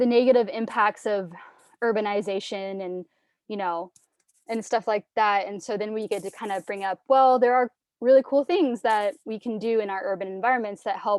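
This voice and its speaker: Here is a woman with an unremarkable speaking voice and a fairly high pitch. She keeps a moderate pace with ordinary pitch variation. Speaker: environmental educator. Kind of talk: teacher workshop presentation. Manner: filler-heavy, repetitive starts.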